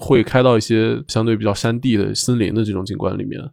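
Fairly quick and medium in pitch, a man with an unremarkable speaking voice comes through in a very clean recording with a silent background. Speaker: architect. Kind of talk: casual chat.

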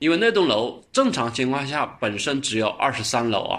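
Speaking with a slight Changsha accent, a man uses a bright, sharp tone at a medium pitch, a moderate pace and lively intonation. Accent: slight Changsha accent in Mandarin. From Changsha, Hunan, China. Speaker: podcast host recommending web novels. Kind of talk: casual book recommendation monologue.

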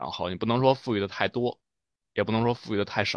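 This man has an ordinary speaking voice, fairly low in pitch with ordinary pitch variation, recorded dry and close with no echo against a quiet background. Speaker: running coach. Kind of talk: casual chat.

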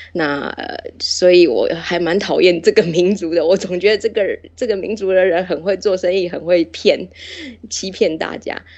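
Noticeable noise fills the background. Over it, a woman talks at a medium pitch with fairly even intonation. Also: moderate pace. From Taiwan, Taichung. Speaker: interview guest. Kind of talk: casual chat.

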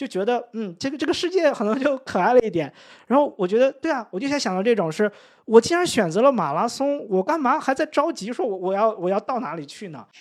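A man's voice swings very widely in pitch at a fairly quick pace, captured in a very clean recording over a silent background. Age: 30s. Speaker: English-teaching content creator. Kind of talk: casual interview. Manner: hesitant, many fillers.

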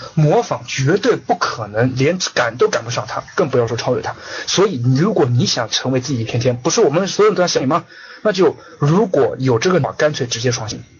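With lively intonation and a fairly high pitch, a man talks at a fairly quick pace amid noticeable background noise. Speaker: online business course lecturer. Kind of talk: online lecture. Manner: repetitive. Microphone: connection lagging.

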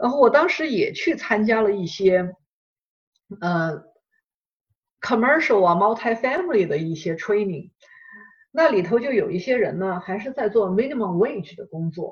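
Moderate pace with long, frequent pauses. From China. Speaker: real estate investor and course instructor. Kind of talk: interview. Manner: halting, many fillers.

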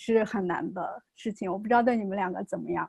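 A woman rattles along at a very fast pace over a quiet background. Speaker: behavior analyst. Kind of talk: casual chat.

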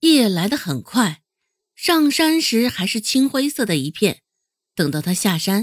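The background stays quiet. Against it comes plain reading aloud.

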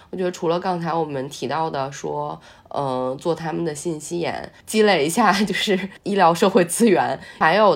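A woman's very deep, low voice at a moderate pace. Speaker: podcast host. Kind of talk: casual chat.

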